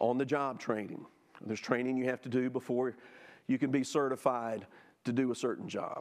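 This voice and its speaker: A man with a Southern US accent at a fairly quick pace, fairly even intonation, and a quiet background. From US South (Jackson, Mississippi). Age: 50s. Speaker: church teacher. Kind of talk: Sunday school lesson.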